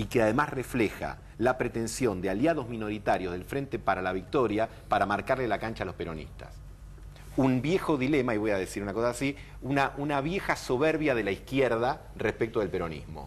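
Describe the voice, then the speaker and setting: A man's plain, everyday voice at medium pitch, with lively intonation and a fairly quick pace. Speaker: political commentator. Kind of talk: TV political interview.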